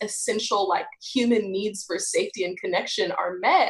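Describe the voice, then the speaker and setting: Using a normal speaking voice, a woman with an American accent talks at a moderate pace in a fairly high pitch with ordinary pitch variation. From Texas. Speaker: podcast co-host. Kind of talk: casual chat.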